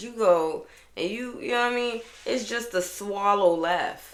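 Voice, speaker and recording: A woman with an American accent sounds animated, with ordinary pitch variation. Audible room echo surrounds her voice. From Boston, US Northeast. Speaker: podcast host. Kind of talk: casual solo podcast monologue.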